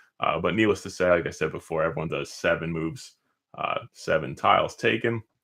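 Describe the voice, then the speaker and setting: A man speaks at a fairly quick pace in a very deep, low voice. His pitch varies in an ordinary way. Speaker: board game reviewer. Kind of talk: casual gameplay tutorial to camera.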